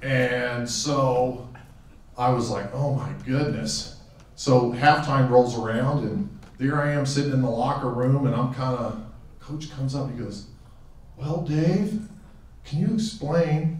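Room echo surrounds a man's voice. He speaks at a fairly slow pace with ordinary pitch variation. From Western Pennsylvania, raised in Tucson from teens; Western Pennsylvania. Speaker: hall of fame inductee, former athlete. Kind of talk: acceptance speech; acceptance speech with anecdotes. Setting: auditorium podium with audience. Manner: halting, with frequent fillers and repeats. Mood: warm, reflective, humorous. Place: hall.

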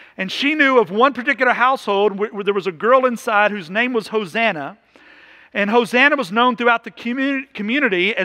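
Raised and projected, a man's high voice comes at a fairly quick pace with a bright, sharp tone and ordinary pitch variation over a quiet background. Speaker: pastor. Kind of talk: sermon. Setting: church. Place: church.

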